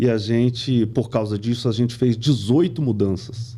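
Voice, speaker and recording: Somewhat breathy and dark, mellow in tone, a man at medium pitch speaks at a moderate pace. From Brazil, moved often (São Paulo, Pernambuco, Rio de Janeiro). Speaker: company CEO. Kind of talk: podcast interview. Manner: conversational, many fillers.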